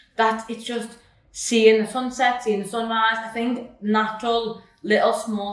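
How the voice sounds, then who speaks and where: At a fairly slow pace, a woman speaks with a fairly high pitch. The room echoes audibly and there is noticeable background noise. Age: 20s. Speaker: personal trainer and nutrition coach. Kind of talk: casual chat. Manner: loud; animated.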